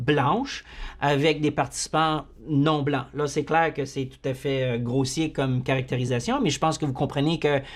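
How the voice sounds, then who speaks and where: Fairly slow speech in a very clean recording with a silent background. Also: man. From Manitoba, Canada (Franco-Manitoban, Métis of Saint-Boniface). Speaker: university psychology lecturer. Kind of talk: lecture. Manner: halting, many repetitions and fillers.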